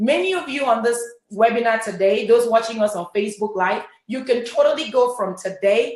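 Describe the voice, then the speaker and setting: A woman with a Cameroonian accent speaks in an animated tone at a fairly high pitch and a moderate pace, with ordinary pitch variation. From Cameroon, French-speaking part. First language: French. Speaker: network marketing leader. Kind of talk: motivational talk. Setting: webinar.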